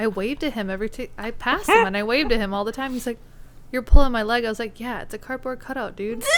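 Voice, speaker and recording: Speaking very fast with an American accent, a woman uses a fairly high pitch. Her pitch varies in an ordinary way. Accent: Minnesota accent, comes out at times. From northern Minnesota. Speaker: podcast co-host. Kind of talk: casual chat.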